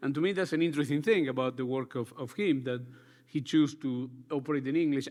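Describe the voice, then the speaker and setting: Very fast speech in a Spanish accent, with ordinary pitch variation. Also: man, fairly high pitch for a man. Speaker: architecture school director. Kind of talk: panel discussion.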